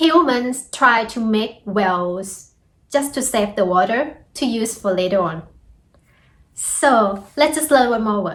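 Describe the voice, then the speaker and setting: A woman's fairly high voice with a Thai accent and lively intonation, at a very slow pace with long, frequent pauses. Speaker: Thai language teacher. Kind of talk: language lesson. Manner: upbeat.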